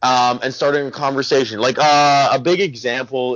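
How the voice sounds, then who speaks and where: Here a man is speaking. His pace is moderate. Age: 20s. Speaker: body piercer. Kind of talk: casual interview chat. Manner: animated, chatty.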